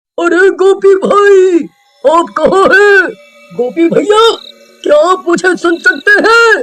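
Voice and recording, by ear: A man puts on a cartoonish character voice and speaks at a very slow pace.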